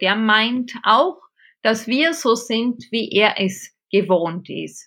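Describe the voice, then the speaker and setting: A woman speaks in a strong Bavarian accent, her pitch fairly high with ordinary variation. Her tone is bright and sharp, and the background is quiet. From Bavaria, Regensburg. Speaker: theology professor and intercultural consultant. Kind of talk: interview.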